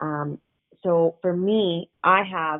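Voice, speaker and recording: In a plain, everyday voice, a woman speaks at a fairly low pitch with fairly even intonation. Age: 30s. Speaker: cancer patient sharing her experience. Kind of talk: personal testimony.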